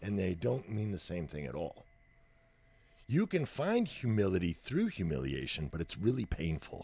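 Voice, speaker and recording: A man with an American accent speaks at a moderate pace with a very deep, low pitch, a dark, mellow tone, vocal fry and very wide pitch swings. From Texas. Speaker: professional drummer. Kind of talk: casual interview about music.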